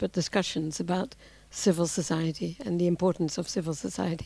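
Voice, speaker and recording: In a New Zealand accent, a woman speaks at a moderate pace and medium pitch with fairly even intonation and a dark, mellow tone, on a very clean recording with a silent background. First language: Dutch. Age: 60s. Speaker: civil society activist. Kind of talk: talk to an audience. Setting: lecture with audience and translator. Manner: halting with fillers.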